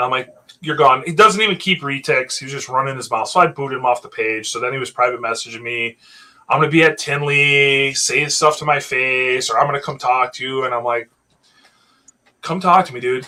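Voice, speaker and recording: A man's unremarkable speaking voice, fairly high, at a fairly quick pace with ordinary pitch variation. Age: 40s. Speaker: reptile breeder, retic keeper. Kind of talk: casual chat.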